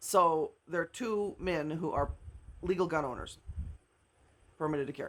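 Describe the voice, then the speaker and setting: With a Midwestern American accent, a woman talks at a moderate pace in an animated tone, her pitch fairly low. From US Midwest, Omaha, Nebraska. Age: 50s. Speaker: social media commentator. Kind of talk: casual monologue.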